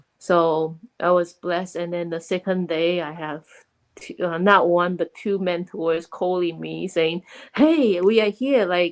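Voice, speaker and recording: Against a quiet background, a woman with a Chinese accent speaks fairly slowly in a fairly low pitch with fairly even intonation and big swings in loudness, the sound dry and close with no echo. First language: Mandarin Chinese. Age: 40s. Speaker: online business owner and mentor. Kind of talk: interview.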